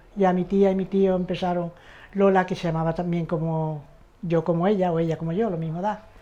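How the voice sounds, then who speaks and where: Woman's dark, mellow voice at a medium pitch, fairly quick pace and fairly even intonation. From Andalusia, Seville. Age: 70s. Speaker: interviewee, migrant. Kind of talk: testimony.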